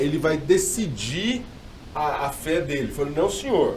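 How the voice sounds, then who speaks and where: Audible room echo follows a man whose voice sits fairly high. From Brazil, mixed regions. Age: 40s. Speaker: pastor. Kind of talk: podcast interview.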